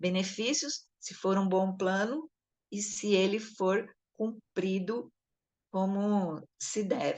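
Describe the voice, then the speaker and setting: Speaking at a very slow pace, a woman holds a medium pitch with ordinary pitch variation. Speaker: education supervisor coordinating a study session. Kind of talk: lecture.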